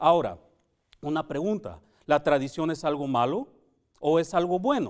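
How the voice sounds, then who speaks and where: Moderate-paced speech from a man, fairly high in pitch, with ordinary pitch variation and long, frequent pauses. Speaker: Sabbath School teacher. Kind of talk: Bible study lesson. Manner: halting.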